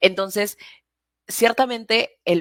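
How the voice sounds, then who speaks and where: Recorded very cleanly against a silent background, the voice shows ordinary pitch variation in a dry, close sound with no echo. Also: woman. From Peru. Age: 20s. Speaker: political activist, platform founder. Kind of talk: interview conversation. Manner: hesitant, many fillers and restarts.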